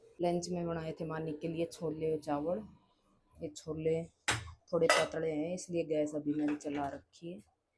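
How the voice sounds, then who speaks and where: A woman talks at a fairly slow pace in a very deep, low pitch. Her voice is somewhat breathy and her intonation monotone and flat. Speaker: vlogger and mother. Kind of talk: casual vlog talk. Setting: at home.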